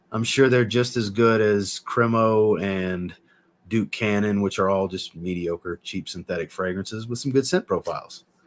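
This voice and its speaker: Here a man talks at a moderate pace. His pitch is fairly low, with ordinary pitch variation. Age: 30s. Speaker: fragrance reviewer and livestream host. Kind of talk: livestream chat. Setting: livestream. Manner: animated. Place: home room.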